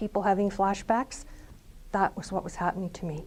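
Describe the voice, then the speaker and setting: With a Canadian accent, a woman talks at a fairly quick pace in a medium pitch, her tone dark and mellow. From Canada, Ontario. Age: 60s. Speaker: quilter. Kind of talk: personal testimony.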